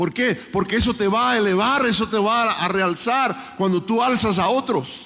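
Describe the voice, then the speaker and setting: A man's raised, projected voice at high pitch, fairly slow with hardly any pauses, very even in loudness, with ordinary pitch variation, over noticeable background noise. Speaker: conference preacher. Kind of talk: sermon.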